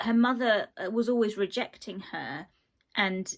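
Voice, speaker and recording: A woman's fairly high voice, animated in tone, with ordinary pitch variation. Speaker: book reviewer. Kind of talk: casual book review vlog. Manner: animated, rambling with fillers.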